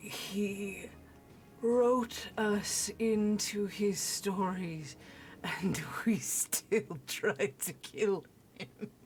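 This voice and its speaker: Putting on a guttural character voice, a woman speaks very slowly at a medium pitch. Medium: actual play.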